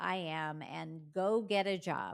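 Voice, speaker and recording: This is a normal speaking voice belonging to a woman. It sits at a medium pitch and varies in an ordinary way. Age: 60s. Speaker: business coach. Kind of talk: solo podcast monologue.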